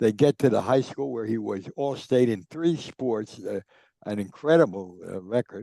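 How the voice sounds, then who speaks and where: With a New Jersey accent, a man speaks at a moderate pace and medium pitch, his tone dark and mellow and his intonation lively, in a dry, close sound with no echo and a quiet background. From New Jersey, Newark. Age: 90s. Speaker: sports journalist and author. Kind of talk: interview storytelling. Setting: podcast.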